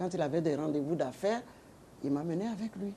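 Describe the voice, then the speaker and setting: At a fairly quick pace, a woman talks with a very deep, low pitch and lively intonation. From Ivory Coast, Oumé. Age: 80s+. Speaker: retired politician and businesswoman. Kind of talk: interview testimony.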